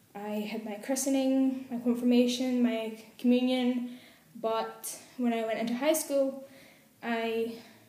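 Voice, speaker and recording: In a Glasgow accent, a woman speaks very slowly with a high pitch, a dark, mellow tone and monotone, flat intonation. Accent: Glasgow Scottish. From Glasgow, Scotland. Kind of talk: casual talk to camera.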